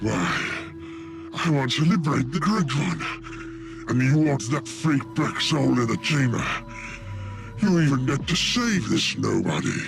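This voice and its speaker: Over loud music in the background, a man uses a put-on character voice at a medium pitch. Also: fairly slow pace. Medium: machinima. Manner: sly, mocking.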